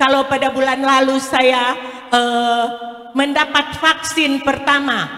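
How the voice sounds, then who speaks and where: A woman's raised, projected, high-pitched voice, very slow in pace and monotone, flat in intonation. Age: 60s. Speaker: multi-level marketing sales leader. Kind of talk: product presentation.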